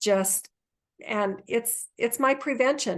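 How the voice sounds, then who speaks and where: A normal speaking voice at a fairly slow pace, with ordinary pitch variation. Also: woman. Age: 60s. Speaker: wellness entrepreneur. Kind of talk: interview.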